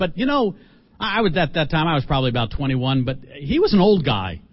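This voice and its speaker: Somewhat breathy and fairly high, a man's voice has an animated tone. He talks at a moderate pace. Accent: American. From US North, Philadelphia. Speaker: mission organization leader. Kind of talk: sermon. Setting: church.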